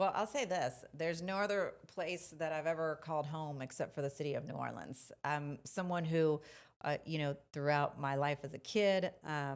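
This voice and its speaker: A woman's very deep, low voice with a Spanish accent and ordinary pitch variation. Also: moderate pace, very clean recording, silent background. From Mexico, then many places. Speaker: politician. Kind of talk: interview.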